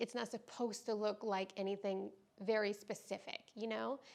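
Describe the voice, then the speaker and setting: Here a woman is speaking. Her pitch is fairly high. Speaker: yoga teacher. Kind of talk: vlog talk to camera. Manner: slow.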